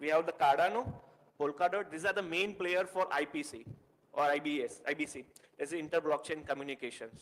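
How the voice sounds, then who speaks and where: With an Indian accent, a man speaks at a fairly quick pace in a fairly high voice, with ordinary pitch variation. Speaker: tech meetup speaker. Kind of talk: technical presentation. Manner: fast.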